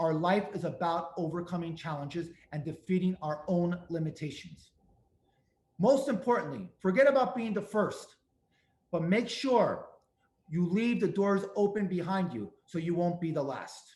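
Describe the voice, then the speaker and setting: A man with a strong New York accent, high pitch, ordinary pitch variation and a moderate pace. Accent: thick New York. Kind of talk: webinar presentation.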